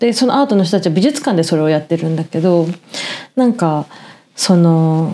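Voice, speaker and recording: Speaking at a fairly quick pace, a woman has a fairly low pitch and a dark, mellow tone. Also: lively intonation. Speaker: podcast co-host. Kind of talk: casual chat.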